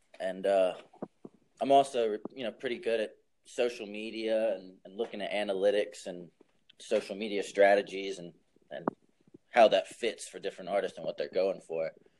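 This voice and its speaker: A man talks in a Southern US accent with long, frequent pauses. His loudness swings widely. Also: moderate pace. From US South, New Orleans. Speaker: music artist manager. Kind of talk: casual chat.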